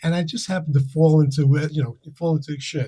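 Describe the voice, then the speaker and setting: At a very fast pace, a man speaks with a fairly high pitch, a dark, mellow tone and a somewhat breathy quality. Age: 70s. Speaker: comedy producer and comedian. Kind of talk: casual interview chat.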